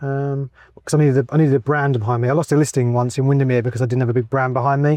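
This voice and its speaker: A man talks at a very fast pace with an English accent, medium pitch, and monotone, flat intonation. His tone is dark and mellow, and the sound is dry and close with no echo. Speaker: real estate agent. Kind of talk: casual interview. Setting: outdoors in a golf cart.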